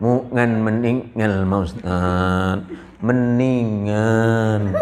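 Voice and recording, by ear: Putting on a nasal character voice at medium pitch, a man speaks very slowly over clear background noise.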